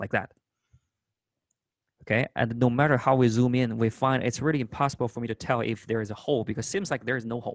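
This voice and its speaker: With a non-native accent, a man of medium pitch talks at a very fast pace with fairly even intonation and long, frequent pauses, the sound dry and close with no echo. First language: not English. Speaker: math instructor. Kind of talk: lecture.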